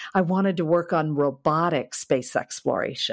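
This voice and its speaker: This is a woman with an American accent. The recording is very clean, with a silent background. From US Midwest, Kansas City. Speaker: space systems engineer. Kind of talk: interview conversation.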